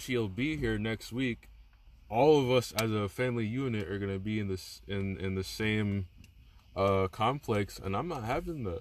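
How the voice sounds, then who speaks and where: A man talks at a fairly low pitch and fairly slow pace in an unremarkable speaking voice with ordinary pitch variation. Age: 20s. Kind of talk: casual chat.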